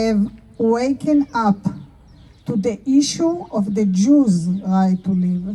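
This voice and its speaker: With an Israeli accent, a woman speaks at a very slow pace and with lively intonation. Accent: Israeli Hebrew. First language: Hebrew. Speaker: artist and activist. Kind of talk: public speech. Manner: halting.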